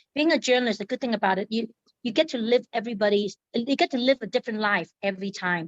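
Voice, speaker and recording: The speech comes at a very fast pace with ordinary pitch variation. The sound is dry and close, with no echo. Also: woman, fairly high pitch for a woman. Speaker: newspaper editor. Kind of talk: interview. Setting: podcast.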